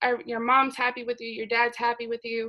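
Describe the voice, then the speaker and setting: In a very clean recording with a silent background, a woman speaks at a high pitch with a bright, sharp tone. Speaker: psychology student presenter. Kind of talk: class presentation.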